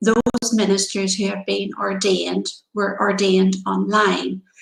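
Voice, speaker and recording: A woman with a Northern Irish accent, medium pitch, vocal fry, and a moderate pace. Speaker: pastor. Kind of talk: devotional talk.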